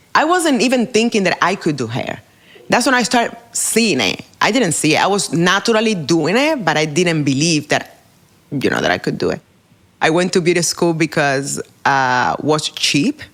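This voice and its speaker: A woman with a Spanish accent speaks at a moderate pace in a fairly low pitch, with very wide pitch swings. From Cuba. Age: 40s. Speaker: hairdresser and educator. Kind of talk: interview.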